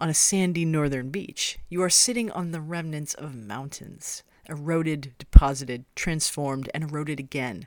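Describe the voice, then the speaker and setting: A woman with an American accent, her pitch very deep and low, at a moderate pace with hardly any pauses and big swings in loudness, on a very clean recording with a silent background. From Maine, US. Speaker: radio host and ecologist. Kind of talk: scripted narration.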